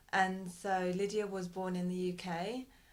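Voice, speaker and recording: A woman's voice with audible room echo. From Britain. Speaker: parent. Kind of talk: interview. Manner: hesitant.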